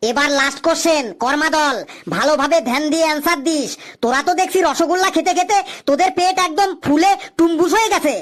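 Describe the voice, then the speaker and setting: A cartoonish character voice, high in pitch, at a moderate pace. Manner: teasing, theatrical.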